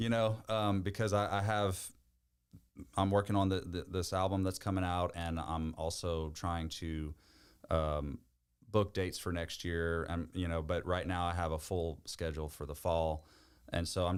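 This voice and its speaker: In a Louisiana accent, a man speaks with very deep, low pitch and fairly even intonation on a very clean recording with a silent background. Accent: Southern US, Louisiana. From Louisiana, Bayou Chicot. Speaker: country music singer. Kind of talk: podcast interview answer.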